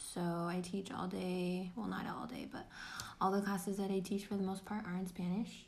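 A woman speaks at a medium pitch, somewhat breathy, with fairly even intonation. There is audible room echo. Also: moderate pace. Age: 20s. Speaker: podcast co-host, middle school teacher. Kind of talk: casual chat.

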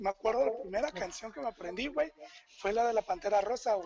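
The man's voice is high in pitch and his pace is moderate. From Chiapas, Mexico. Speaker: podcast co-host. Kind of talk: casual chat.

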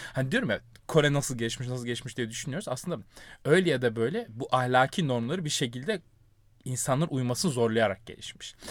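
A man speaks at a fairly quick pace in a normal speaking voice, his pitch medium. The recording is very clean, with a silent background. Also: ordinary pitch variation. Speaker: academic podcast host. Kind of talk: casual chat. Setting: recording inside a wardrobe.

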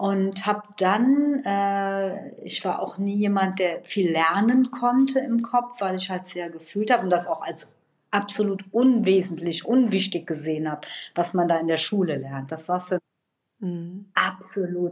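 This woman has an ordinary speaking voice at a medium pitch, with ordinary pitch variation and a fairly slow pace. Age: 50s. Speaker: trauma therapist. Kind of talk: casual chat.

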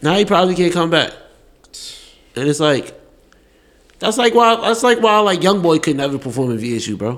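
At a moderate pace, a man speaks in an animated tone with a high pitch and very wide pitch swings. He leaves long, frequent pauses. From New York. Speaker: student podcast host. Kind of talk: casual interview chat.

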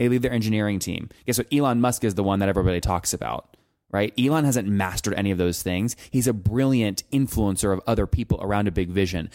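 In a very clean recording with a silent background, the speech comes at a very fast pace in an energetic tone. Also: man. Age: 20s. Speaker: entrepreneur. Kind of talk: interview.

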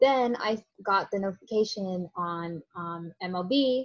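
A normal speaking voice with an American accent and lively intonation. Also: woman, quiet background. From Florida, St. Petersburg. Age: young. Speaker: sports fan guest. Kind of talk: casual chat.

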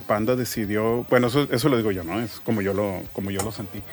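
A man's voice with music in the background. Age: 40s. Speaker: graphic designer. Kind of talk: casual interview.

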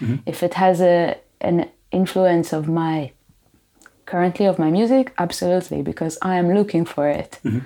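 A woman with a fairly low pitch and a dark, mellow tone, moderate pace and ordinary pitch variation, on a very clean recording with a silent background. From Israel, Tel Aviv. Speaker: musician. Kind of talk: interview.

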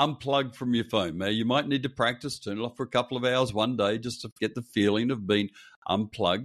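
Speaking fairly quickly with an Australian accent, a man keeps a medium pitch and fairly even intonation. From Perth, Western Australia. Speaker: pastor. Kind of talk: interview.

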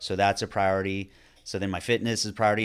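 Here is a man with an unremarkable speaking voice, fairly low in pitch, with an American accent. The recording is very clean, with a silent background. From Northern California. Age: 40s. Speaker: podcast host, fitness coach. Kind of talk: casual chat.

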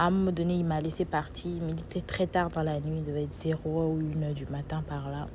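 The delivery moves at a fairly quick pace with hardly any pauses. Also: woman. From Benin. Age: 20s. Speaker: podcast host and author. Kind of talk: personal testimony.

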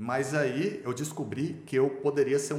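Noticeable background noise and audible room echo fill the recording. A man speaks at a moderate pace with a fairly high pitch. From Brazil, Goiânia (Goiás). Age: 40s. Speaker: businessman and swimmer. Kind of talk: podcast interview, personal life story.

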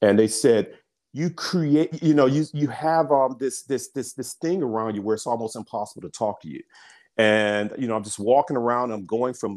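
A man speaks in a plain, everyday voice at a moderate pace and medium pitch, with ordinary pitch variation. The recording is very clean, with a silent background. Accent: American. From US South, Birmingham, Alabama. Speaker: business founder and CEO. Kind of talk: interview conversation.

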